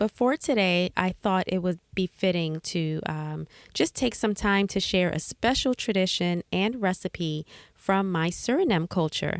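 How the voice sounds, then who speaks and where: A woman's medium-pitched voice at a fairly slow pace, with ordinary pitch variation. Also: dry, close sound with no echo, very clean recording, silent background. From United States. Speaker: podcast host. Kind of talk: casual podcast monologue. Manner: frequent fillers (um, uh).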